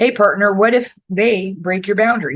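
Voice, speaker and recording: A woman speaks at medium pitch with an American accent. Her pitch varies in an ordinary way at a moderate pace. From Florida, raised by New Yorkers. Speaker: podcast host. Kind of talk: self-help podcast monologue. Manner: casual, conversational.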